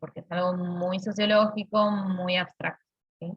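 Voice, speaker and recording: The speech comes at a fairly slow pace in a monotone, flat intonation. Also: woman. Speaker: university lecturer. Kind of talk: lecture.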